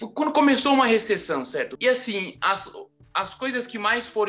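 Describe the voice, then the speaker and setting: A man speaks in a raised, projected voice with lively intonation. Music plays in the background. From Rio de Janeiro, Brazil. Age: 30s. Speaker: architect and construction project manager. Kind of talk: interview answer.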